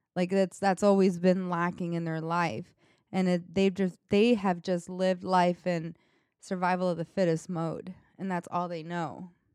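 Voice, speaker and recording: In a very clean recording with a silent background, a woman talks with an American accent. Her fairly low voice is a flat monotone at a moderate pace. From New York. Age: 20s. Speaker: podcast co-host. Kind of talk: casual chat.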